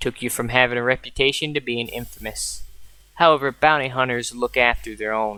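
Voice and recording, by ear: The pitch varies in an ordinary way as this person reads aloud in a natural voice.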